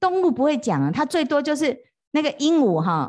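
Animated in tone, a woman talks at a fairly quick pace with very wide pitch swings against a quiet background. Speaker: Buddhist monastic teacher. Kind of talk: dharma lecture. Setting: retreat hall with live audience. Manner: animated, frequent fillers like 啊 哈 哦.

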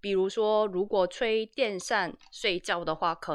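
At a fairly slow pace, a woman speaks against a quiet background. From South Korea. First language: Korean (speaking Chinese). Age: 30s. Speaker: YouTuber, translator. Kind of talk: casual chat. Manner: halting.

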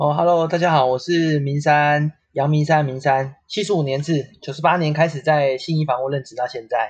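A man speaks at a moderate pace with hardly any pauses, his voice fairly high in pitch, somewhat breathy and fairly even in intonation. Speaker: real estate company staff. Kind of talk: casual chat. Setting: online call.

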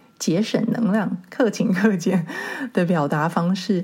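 A woman speaks at a medium pitch with ordinary pitch variation. Noticeable background noise is present. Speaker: podcast host. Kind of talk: solo podcast monologue. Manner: relaxed, less rushed than before.

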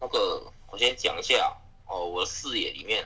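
A man is heard with noticeable background noise. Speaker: werewolf game player. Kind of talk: game discussion.

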